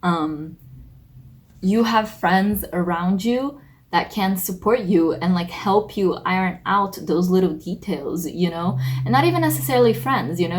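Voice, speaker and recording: A woman with a fairly low, somewhat breathy voice speaks at a fairly slow pace with lively intonation. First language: not English. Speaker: tarot reader, video creator. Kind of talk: tarot reading monologue. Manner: casual, many fillers.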